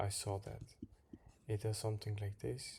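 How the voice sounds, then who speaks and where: The voice has a non-native accent and a dark, mellow tone that is somewhat breathy. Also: man. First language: not English. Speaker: crypto trader and drywall worker. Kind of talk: chart analysis video. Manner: halting, repeats words.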